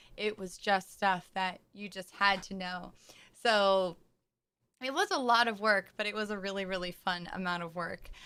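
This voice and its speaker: On a very clean recording with a silent background, a woman speaks at medium pitch and a moderate pace, bright and sharp in tone, with fairly even intonation. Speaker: singer. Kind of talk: casual livestream talk.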